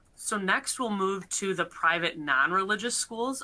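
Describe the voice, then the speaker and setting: A woman talks at a fairly quick pace with ordinary pitch variation. Her tone is bright and sharp. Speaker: attorney presenter; presenter. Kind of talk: webinar presentation. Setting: online webcast. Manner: formal. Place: home room. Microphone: webcam.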